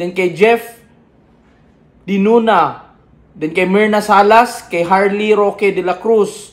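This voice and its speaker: At a very slow pace, a man with a high pitch talks with fairly even intonation. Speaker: mukbang vlogger. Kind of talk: casual chat with shoutouts.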